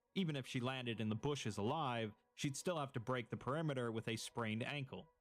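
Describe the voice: Ordinary pitch variation in plain reading aloud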